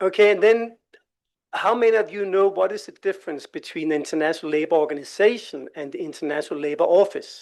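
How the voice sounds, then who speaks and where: A high-pitched man with a Danish accent at a very fast pace, with ordinary pitch variation. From Denmark. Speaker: labour organisation expert presenter. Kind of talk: presentation at a workshop. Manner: hesitant, with many fillers.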